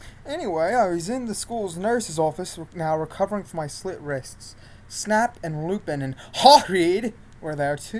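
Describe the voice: The speaker gives a plain reading aloud, with intonation that rises and falls in a lively way.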